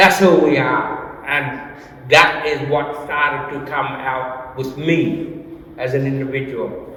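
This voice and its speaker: There is noticeable background noise as a man speaks at a very slow pace. His intonation stays fairly even. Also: fairly high pitch for a man. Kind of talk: artist talk. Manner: halting, repeats words.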